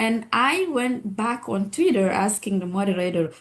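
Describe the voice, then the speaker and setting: This woman's voice is somewhat breathy. She speaks at a moderate pace. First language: French. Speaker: physician and public health expert. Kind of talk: webinar discussion.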